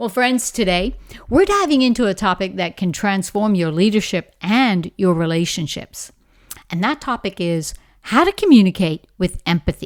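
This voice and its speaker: A woman with a Bahamian accent, medium pitch, lively intonation and an animated tone, at a moderate pace on a very clean recording with a silent background. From Bahamas. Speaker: leadership coach, podcast host. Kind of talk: podcast monologue.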